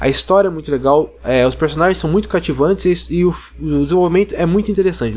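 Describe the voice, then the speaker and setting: Through noticeable background noise, this man rattles along at a very fast pace. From Brazil, interior of São Paulo state (Ribeirão Preto). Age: 20s. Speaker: podcast listener. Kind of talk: recorded listener recommendation.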